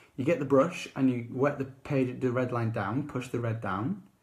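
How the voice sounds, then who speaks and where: A man at medium pitch speaks in a somewhat breathy voice. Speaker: art tutor. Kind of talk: tutorial. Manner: informal, chatty.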